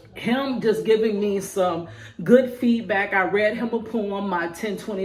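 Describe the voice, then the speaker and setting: Over noticeable background noise, a woman speaks very slowly at medium pitch with fairly even intonation. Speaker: spoken word poet; prison wife. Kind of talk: casual talk to camera.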